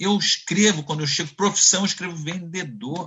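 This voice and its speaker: Male speech, high in pitch, with normal rises and falls. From Brazil, Nova Friburgo (Rio de Janeiro state). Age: 60s. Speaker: sales executive. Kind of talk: interview.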